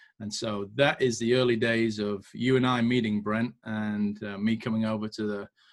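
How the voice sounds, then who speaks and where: A man's fairly low voice with a British accent, monotone and flat in intonation, at a moderate pace with hardly any pauses. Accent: British accent, noticeable to Americans. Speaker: entrepreneur and military veteran. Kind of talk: podcast interview. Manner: casual with frequent fillers and repetitions.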